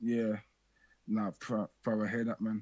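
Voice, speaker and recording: A man with a Birmingham accent speaks at a moderate pace in a dry, close recording with no echo. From Birmingham, England. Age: young. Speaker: call-in show host. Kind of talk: casual call-in chat.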